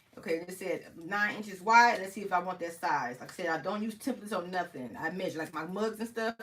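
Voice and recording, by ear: A woman speaks at a fairly low pitch and a fairly quick pace, her tone fairly bright and her intonation lively.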